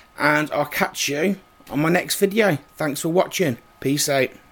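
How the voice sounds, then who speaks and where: Noticeable background noise behind a man's fairly slow speech, fairly high in pitch, with ordinary pitch variation. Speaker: YouTuber. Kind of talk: unboxing video. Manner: casual, chatty.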